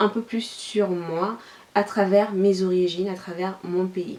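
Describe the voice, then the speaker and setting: A woman speaks with a slight Nigerien accent. Noticeable background noise sits behind her. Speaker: YouTuber. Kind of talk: vlog.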